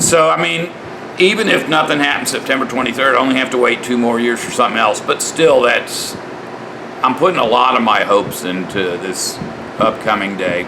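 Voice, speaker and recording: Amid noticeable background noise and audible room echo, the voice moves at a fairly quick pace with very wide pitch swings. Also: man, medium pitch for a man. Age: 60s. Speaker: religious vlogger. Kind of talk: casual monologue vlog. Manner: halting.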